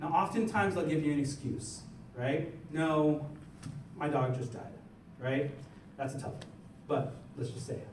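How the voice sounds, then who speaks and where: Amid noticeable background noise and audible room echo, a man with an American accent speaks at a fairly high pitch. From New York, the Bronx. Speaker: party chair and Marine veteran giving a workshop. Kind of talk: workshop lecture. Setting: in-person workshop with audience. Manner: fast.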